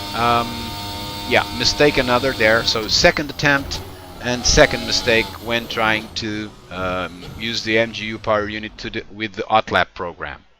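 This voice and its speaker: A man speaks with a non-native accent, his loudness swinging widely. Music plays in the background. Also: medium pitch for a man, ordinary pitch variation, moderate pace. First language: not English. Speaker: sim racing reviewer. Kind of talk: commentary over gameplay footage. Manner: halting, many fillers and restarts.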